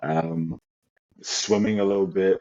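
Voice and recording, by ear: A slow voice with vocal fry and fairly even intonation. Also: man, low pitch for a man, slightly mellow tone.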